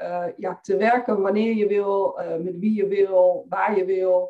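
A woman's very slow delivery. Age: 30s. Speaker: financial coach for women entrepreneurs. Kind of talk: podcast interview.

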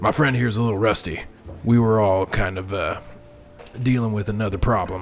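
A man uses a put-on character voice at a fairly low pitch and a fairly quick pace. He leaves long, frequent pauses, and background noise is clearly heard. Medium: actual play. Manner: timid, formal.

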